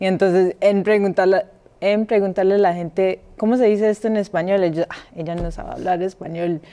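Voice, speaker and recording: Talking at a fairly quick pace, a woman holds a medium pitch with fairly even intonation. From Colombia. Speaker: podcast co-host. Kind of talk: casual chat. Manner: hesitant.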